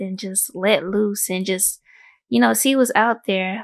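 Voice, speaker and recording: In a quiet setting, a woman talks fairly slowly, her pitch varying in an ordinary way. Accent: Houston. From Houston, Texas. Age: 20s. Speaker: guest interviewee. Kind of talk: casual chat.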